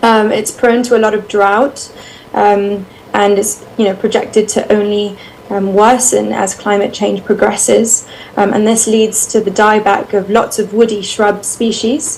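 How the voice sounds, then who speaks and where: A woman with a British accent speaks at a fairly slow pace in a fairly high pitch, her intonation monotone and flat, with noticeable background noise. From United Kingdom. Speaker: bat researcher. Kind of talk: presentation. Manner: hesitant, many fillers.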